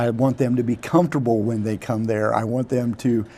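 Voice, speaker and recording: A man speaks with a dark, mellow tone. His pace is moderate and his intonation monotone and flat. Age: 60s. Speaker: local politician. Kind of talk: interview. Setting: studio. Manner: halting.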